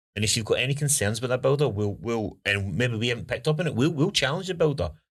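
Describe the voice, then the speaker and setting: In a very clean recording with a silent background, a man with a Scottish accent talks at a very fast pace, using medium pitch with very wide pitch swings and vocal fry. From Scotland. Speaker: home building consultant and podcast host. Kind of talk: casual podcast chat.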